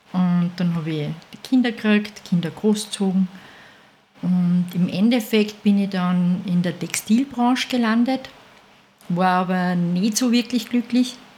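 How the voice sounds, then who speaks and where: The speech moves at a very slow pace with long, frequent pauses and ordinary pitch variation. Noticeable background noise runs underneath. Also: woman, medium pitch for a woman. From Austria, Salzburg region (Mondsee). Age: 50s. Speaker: dog food maker, business owner. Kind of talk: casual interview.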